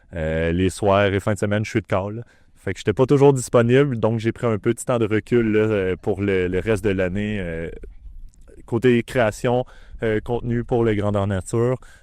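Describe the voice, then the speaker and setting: With a Quebec accent and a fairly low pitch with ordinary variation, a man speaks at a moderate pace in a dry, close sound with no echo against a quiet background. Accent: Québécois French. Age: 20s. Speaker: larp player and former organizer. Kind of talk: documentary interview.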